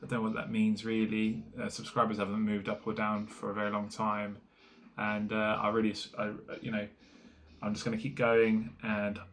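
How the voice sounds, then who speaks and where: A man with an English accent, fairly low in pitch, at a moderate pace with monotone, flat intonation. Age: 30s. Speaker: small business owner vlogger. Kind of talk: casual vlog monologue. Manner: halting, many fillers.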